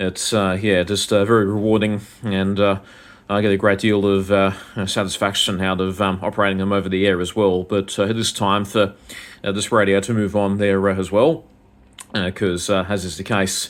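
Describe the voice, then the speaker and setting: At a moderate pace, a man with an Australian accent talks in a fairly low pitch with monotone, flat intonation. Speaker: ham radio operator. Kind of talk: radio contact conversation. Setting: amateur radio over the air. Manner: halting, many fillers.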